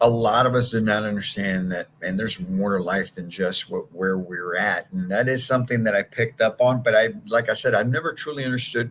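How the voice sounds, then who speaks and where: Over noticeable background noise, a man talks at a fairly quick pace with hardly any pauses, his medium-pitched voice showing ordinary pitch variation. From San Antonio, Texas. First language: Spanish. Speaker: sales coach. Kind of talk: motivational talk. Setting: live stream.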